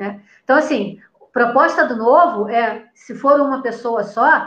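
The voice is a woman's, high in pitch. Her pitch varies in an ordinary way. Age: 50s. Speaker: live stream host and municipal candidate. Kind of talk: casual political chat. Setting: Facebook live video call.

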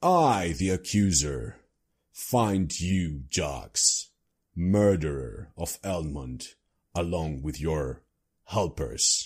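A man's put-on character voice, very deep and low in pitch, at a very slow pace, on a very clean recording with a silent background. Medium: actual play. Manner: pompous, menacing proclamation.

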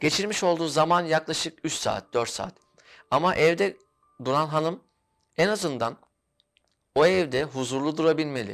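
At a moderate pace, a man with a fairly high pitch and ordinary pitch variation speaks with long, frequent pauses on a very clean recording with a silent background. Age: 30s. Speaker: interior designer. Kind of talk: interview.

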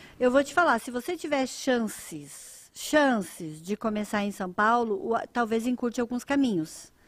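At a fairly slow pace, a woman talks with a fairly high pitch and very wide pitch swings. The recording is very clean, the background silent. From southern Brazil, Rio Grande do Sul. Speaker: fashion designer and entrepreneur. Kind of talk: interview. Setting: live stream.

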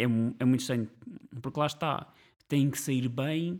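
At a fairly quick pace, a man talks in a plain, everyday voice. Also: very clean recording, silent background. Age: 30s. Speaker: podcast co-host. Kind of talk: casual chat.

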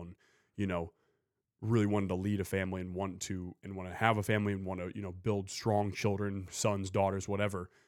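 A man at a very fast pace and fairly low pitch, on a very clean recording with a silent background. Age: 20s. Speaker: podcast host. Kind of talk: casual podcast chat.

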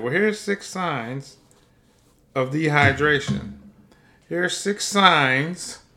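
A man's fairly high voice, bright and sharp in tone, with lively intonation. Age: 50s. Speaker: health podcast host and plant-based chef. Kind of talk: solo podcast monologue on health; reading aloud from articles. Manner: casual, animated.

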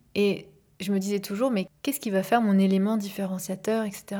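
In a very clean recording over a silent background, a woman with a medium pitch speaks fairly quickly in a calm, soothing, dark and mellow tone, somewhat breathy, with monotone, flat intonation. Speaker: life coach and podcast host. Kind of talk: personal monologue. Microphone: microphone, not a professional studio.

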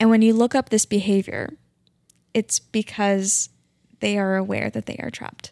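In a very clean recording with a silent background and a dry, close sound with no echo, a woman with a Midwestern US accent speaks in a dark, mellow tone with fairly even intonation, big swings in loudness, and long, frequent pauses. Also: medium pitch for a woman, moderate pace. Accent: US Midwest. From Kansas City area, Missouri. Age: 30s. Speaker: math teacher. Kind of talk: casual chat.

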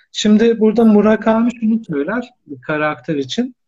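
He has a dark, mellow tone. His delivery moves at a moderate pace. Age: 30s. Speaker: academic and novelist. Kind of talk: live-stream interview.

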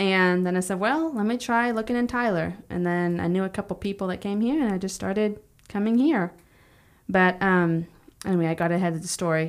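A woman with an American accent speaks at medium pitch with ordinary pitch variation. Her pace is fairly quick, and the recording is very clean with a silent background. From Texas, Palestine (East Texas). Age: 20s. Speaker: small business owner, house cleaning. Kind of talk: interview testimony.

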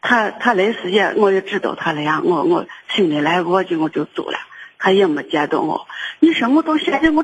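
A woman's speech swings very widely in pitch while keeping a moderate pace. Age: 60s. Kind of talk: phone-in personal account. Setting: phone call. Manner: halting, with many repetitions.

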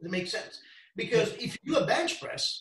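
A man talks in an Italian accent. His pitch is high. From Italy, near Venice. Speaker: strength coach. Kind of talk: interview.

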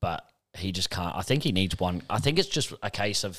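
A man with a very deep, low voice speaks at a moderate pace and with lively intonation. The recording is very clean, with a silent background. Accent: Australian. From Australia. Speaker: football podcast co-host. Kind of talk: casual chat.

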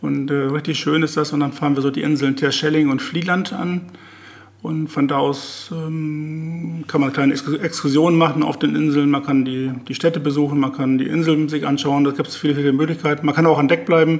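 Here a man speaks at a moderate pace with a fairly high pitch. His intonation is monotone and flat, with noticeable background noise. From northwest Germany, Oldenburger Münsterland. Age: 60s. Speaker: master butcher. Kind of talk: casual chat. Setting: in the host's kitchen. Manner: halting.

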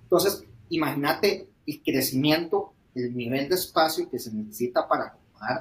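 A man with a Costa Rican accent talks at a moderate pace in a fairly high pitch, sounding somewhat breathy. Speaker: startup founder. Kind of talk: interview.

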